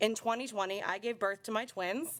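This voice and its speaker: At a moderate pace, a woman with an American accent and an unremarkable speaking voice talks with ordinary pitch variation. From South Carolina. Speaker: member of the public giving testimony. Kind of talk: public testimony.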